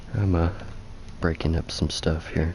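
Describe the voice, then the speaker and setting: Noticeable noise sits in the background. The speaker's intonation stays monotone and flat. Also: man. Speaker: video game streamer. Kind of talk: gameplay livestream commentary. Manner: casual, with fillers. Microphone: game audio echo and lag.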